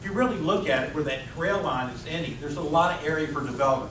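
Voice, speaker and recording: Very fast man's voice, fairly high in pitch with lively intonation, amid audible room echo and noticeable background noise. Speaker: city council candidate. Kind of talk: candidate forum statement. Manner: loud; animated.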